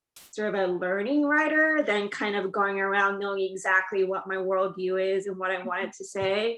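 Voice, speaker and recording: Over noticeable background noise, a woman talks at a moderate pace and medium pitch, with ordinary pitch variation and hardly any pauses. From South Korea. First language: Korean. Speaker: TV writer. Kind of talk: interview.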